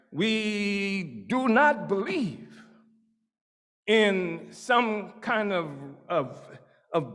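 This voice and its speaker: This man's voice sits high in pitch, with audible room echo around it. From US South, small city in Florida. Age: 80s. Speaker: political activist leader. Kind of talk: speech to a church audience. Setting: church.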